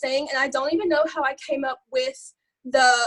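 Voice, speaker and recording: A woman talks loudly in an Alabama accent, animated in tone. Her pace is fairly quick, with ordinary pitch variation. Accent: Southern US, Alabama. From US South, Alabama. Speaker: network marketing distributor. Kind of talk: live video call training. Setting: video call.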